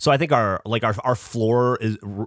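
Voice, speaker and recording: In a very clean recording with a silent background, a man speaks with an unremarkable speaking voice at medium pitch, moderate pace and fairly even intonation. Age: 40s. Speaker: podcast co-host. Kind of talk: casual chat.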